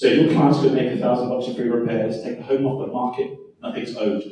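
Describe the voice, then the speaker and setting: The speaker has a non-native accent. Audible room echo surrounds the voice. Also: man. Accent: foreign accent, noticeable. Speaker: home warranty sales representative. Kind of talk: sales pitch.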